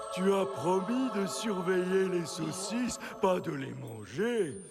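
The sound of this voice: Against clear background noise, a man puts on a cartoonish character voice, high-pitched and fairly slow.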